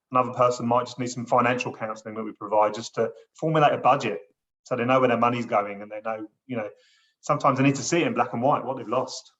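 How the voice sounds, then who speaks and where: A man with a southeast English accent talks at a very fast pace, with fairly even intonation and big swings in loudness. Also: medium pitch for a man. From southeast England. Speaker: gambling support counsellor. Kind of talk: casual chat.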